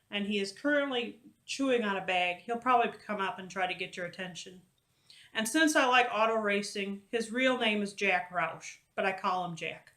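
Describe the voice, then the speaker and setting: Lively intonation marks this woman's speech, delivered in an American accent at a moderate pace. Her pitch is fairly high and her tone bright and sharp. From Wisconsin, US Midwest. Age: 30s. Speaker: craft video blogger. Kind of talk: casual vlog. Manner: halting.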